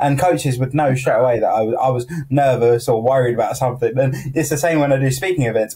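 A man's fairly high voice at a fairly quick pace, ordinary pitch variation, over a quiet background. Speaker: podcast host. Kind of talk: casual chat. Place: home room. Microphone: earbuds.

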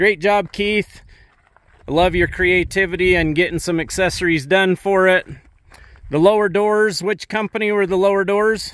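A man's high-pitched voice at a moderate pace, with fairly even intonation, a quiet background, and dry sound with no echo. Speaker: dealership host filming. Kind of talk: casual vlog commentary. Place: open country. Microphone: phone near.

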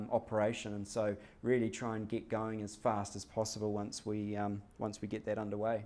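In a New Zealand accent, a man talks at a fairly quick pace with a dark, mellow tone. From New Zealand, Hamilton. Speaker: company executive; presenter. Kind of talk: business presentation. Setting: stage with audience. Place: meeting room. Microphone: podium.

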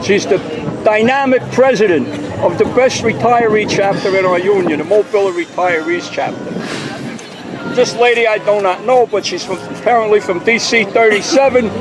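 The speech moves at a moderate pace over crowd noise in the background. The sound is dry, with no echo. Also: man, high pitch for a man, ordinary pitch variation. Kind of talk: casual on-the-spot introductions and commentary. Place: street. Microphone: phone near.

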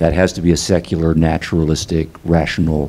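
The man's pitch is very deep and low. He keeps a moderate pace. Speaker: guest. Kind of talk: discussion answer. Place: stage. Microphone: handheld.

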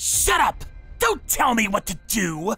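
Faint music plays behind a man doing a cartoonish character voice at an extremely high pitch, spoken at a fairly slow pace. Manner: aggressive, threatening.

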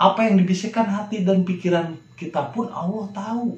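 Here a man is talking. His delivery runs fairly slow. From Indonesia, Sukabumi, West Java. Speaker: religious video talk host. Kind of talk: religious monologue.

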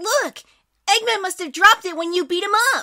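In a put-on character voice, the speaker squeaks along at an extremely high pitch and a fairly quick pace. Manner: eager, earnest, helpful.

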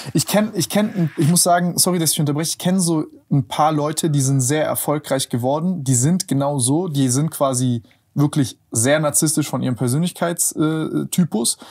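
A man with a plain, everyday voice speaks at a fairly high pitch and a moderate pace, with ordinary pitch variation. His loudness is very even against a quiet background. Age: 20s. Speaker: podcast host. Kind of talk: casual interview chat. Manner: casual, colloquial. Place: studio. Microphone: lapel.

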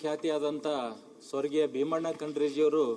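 Flat and monotone, a man talks with a fairly high pitch. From Bidar district, north Karnataka (Bhalki). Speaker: legislator. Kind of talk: condolence speech in legislative assembly. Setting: legislative assembly chamber. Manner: formal.

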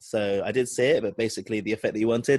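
With a British accent, a man speaks at medium pitch. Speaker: podcast host.

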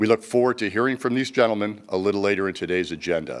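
This is a man speaking. His pitch sits fairly low. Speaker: company executive host. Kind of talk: scripted corporate presentation.

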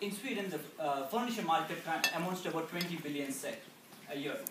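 A man at a fairly quick pace with a high pitch, over noticeable background noise. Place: hall. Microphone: camera far.

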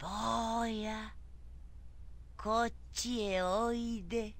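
A put-on character voice, female-sounding and fairly high in pitch, at a very slow pace

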